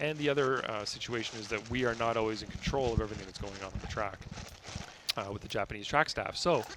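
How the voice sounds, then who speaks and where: Against noticeable background noise, a man talks at a very fast pace and medium pitch with ordinary pitch variation. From Canada. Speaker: drift event commentator and judge. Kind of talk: live commentary. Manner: neutral diction.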